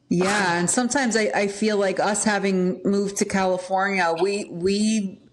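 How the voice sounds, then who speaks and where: With an American accent, a woman speaks at a moderate pace and medium pitch, her intonation fairly even, her loudness very even and hardly any pauses, over noticeable background noise. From Pennsylvania, US. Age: 40s. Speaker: podcast host and health editor. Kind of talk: casual chat.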